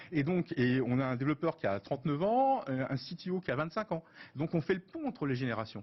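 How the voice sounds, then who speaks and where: A man's ordinary speaking voice, fairly high in pitch, at a fairly quick pace with lively intonation. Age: 50s. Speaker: business executive and start-up partner. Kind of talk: TV interview.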